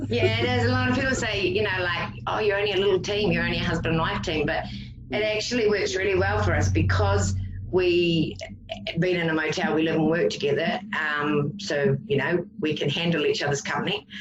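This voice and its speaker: A woman with a New Zealand accent, fairly low pitch and very wide pitch swings, at a fairly quick pace and very even loudness, with audible room echo and music in the background. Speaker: psychic paranormal investigator. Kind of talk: casual chat.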